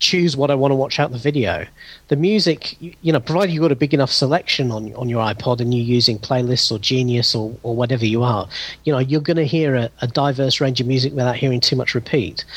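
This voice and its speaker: At a very fast pace, a man speaks somewhat breathily in a medium pitch with ordinary pitch variation. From United Kingdom. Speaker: former podcaster, tech enthusiast. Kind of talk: casual chat. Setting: remote call.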